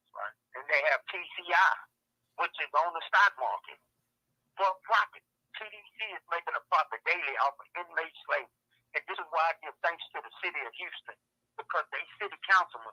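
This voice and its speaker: The delivery moves at a moderate pace with big swings in loudness. The sound is dry and close, with no echo. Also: man. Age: 60s. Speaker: prison inmate. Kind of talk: testimony. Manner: animated.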